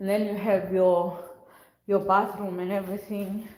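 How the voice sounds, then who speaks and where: A woman's animated voice with a South African accent, plus audible room echo and noticeable background noise. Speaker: vlogger. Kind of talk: casual vlog house tour.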